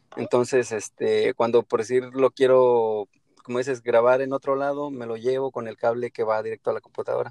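With a Mexican accent, a man speaks at a moderate pace in a flat monotone of medium pitch, the sound dry and close with no echo. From Mexico. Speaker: podcaster. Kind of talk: casual chat. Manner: halting.

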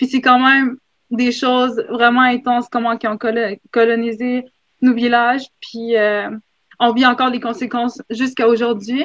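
A woman talks at a moderate pace with a high pitch. Her intonation is monotone and flat. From Nunavik, Inuit community. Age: 20s. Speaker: substitute teacher, panelist. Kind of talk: panel discussion. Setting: video call from school. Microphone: poor internet connection.

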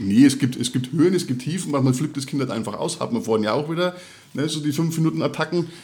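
A very fast pace in a Franconian accent, with ordinary pitch variation. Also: man, fairly high pitch for a man. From Middle Franconia, Bavaria. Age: 30s. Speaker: podcast co-host, father. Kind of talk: casual chat.

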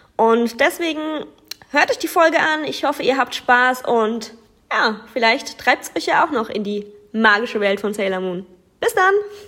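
A woman with a high voice speaks at a moderate pace, her pitch swinging very widely, with long, frequent pauses. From southern Germany. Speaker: fan. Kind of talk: prepared self-introduction.

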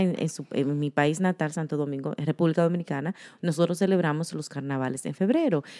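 A woman speaks at a moderate pace in a Spanish accent, with ordinary pitch variation. The recording is very clean, with a silent background. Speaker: podcast co-host. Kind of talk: casual chat.

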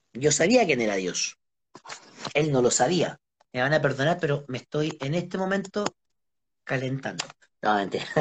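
Speaking in a Chilean accent at a moderate pace, a man with a fairly high pitch and a somewhat breathy voice uses an animated tone and lively intonation, broken by long, frequent pauses. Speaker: interviewee, friend of host. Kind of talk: casual live-stream interview.

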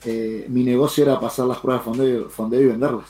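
At a moderate pace, a man talks in a medium pitch. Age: 40s. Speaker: trader and streamer. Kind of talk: casual chat.

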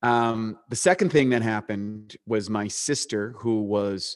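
The recording is very clean with a silent background, and a man with a slight Canadian accent speaks at a fairly low pitch with ordinary pitch variation. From eastern Canada. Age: 40s. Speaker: supplement company co-founder and bodybuilder. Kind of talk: interview.

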